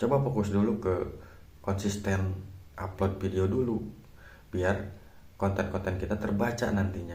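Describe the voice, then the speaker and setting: With a very deep, low pitch and a dark, mellow tone, a man speaks somewhat breathily at a moderate pace, with audible room echo. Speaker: YouTuber. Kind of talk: vlog tutorial. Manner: casual, halting with fillers.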